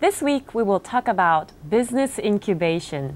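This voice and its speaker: A woman speaks at a fairly slow pace with very wide pitch swings. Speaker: TV host. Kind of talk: TV news hosting. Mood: bright, friendly. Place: studio.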